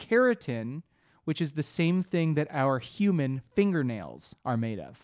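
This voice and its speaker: On a very clean recording with a silent background, a man speaks in a normal speaking voice at a fairly slow pace with lively intonation. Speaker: comedy podcast co-host. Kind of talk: casual chat.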